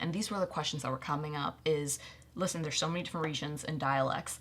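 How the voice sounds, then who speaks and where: Speaking at a very fast pace with an American accent, a woman uses a very deep, low pitch and fairly even intonation. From USA, Indian family. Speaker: actress. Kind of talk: casual chat.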